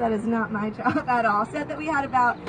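Over crowd noise in the background, a woman talks very fast at a high pitch with ordinary pitch variation. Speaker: boat tour guide. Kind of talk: tour guide commentary. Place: boat.

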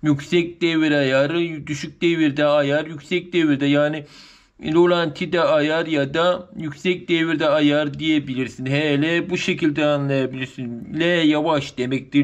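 The man's delivery is very slow, with intonation that stays fairly level. Little sound intrudes from behind him. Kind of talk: tutorial. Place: workshop. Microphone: phone near.

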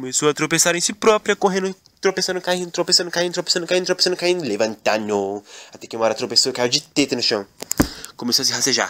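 Talking at a very fast pace, a man uses a high pitch, very wide pitch swings and an animated, playful tone. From Brazil. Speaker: comedian and gaming video creator. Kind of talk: comedic storytelling parody, narrating with character voices.

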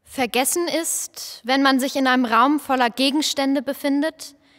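The speaker talks at a moderate pace. The pitch variation is ordinary. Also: woman. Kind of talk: poetic spoken performance, lines passed between voices.

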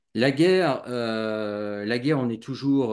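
A man talks in a medium pitch, his pitch varying in an ordinary way, with a quiet background behind him. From grew up abroad, outside France, until early adolescence. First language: bilingual French and Russian (speaking French). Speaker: YouTuber on expatriation. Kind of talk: casual interview; conversational discussion, opinion. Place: home room. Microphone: video call.

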